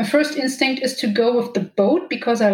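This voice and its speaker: A high-pitched woman with a German accent and lively intonation. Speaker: romance novelist. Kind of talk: interview.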